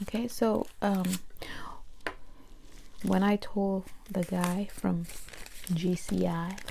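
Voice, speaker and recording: A soft-spoken whisper. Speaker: ASMR creator. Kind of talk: casual talk to camera. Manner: soft-spoken, whispered.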